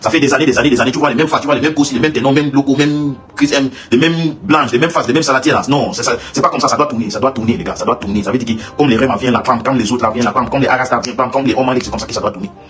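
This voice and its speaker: A man talks at a very fast pace with hardly any pauses, his pitch medium with ordinary variation. Noticeable background noise runs under the recording. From Cameroon. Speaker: singer. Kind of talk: livestream rant. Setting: live stream. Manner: halting, repetitive.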